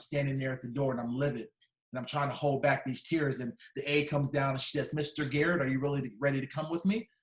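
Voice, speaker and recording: Animated and somewhat breathy, a man races along at a very fast pace with a fairly high pitch. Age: 50s. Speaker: motivational speaker. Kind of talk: keynote speech telling a personal story. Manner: animated storytelling.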